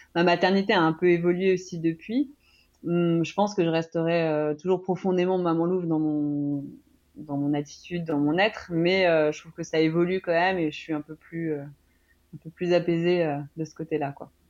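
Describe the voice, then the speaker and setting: Her loudness swinging widely, a woman with a fairly low pitch speaks at a moderate pace with fairly even intonation. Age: 30s. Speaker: former journalist, online shop owner, mother. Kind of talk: testimony. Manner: halting.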